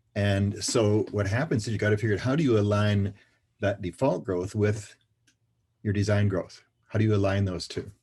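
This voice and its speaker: A man speaks at a fairly low pitch with a dark, mellow, somewhat breathy tone, fairly even intonation, and very even loudness. His pace is moderate and the background is quiet. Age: 70s. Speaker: financial services trainer and speaker. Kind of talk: interview.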